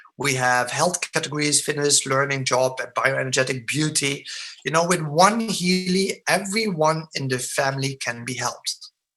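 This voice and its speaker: The man's pitch sits fairly high and moves with ordinary variation. He keeps a moderate pace. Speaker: product presenter. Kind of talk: sales presentation. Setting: online webinar with screen share. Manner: mumbling.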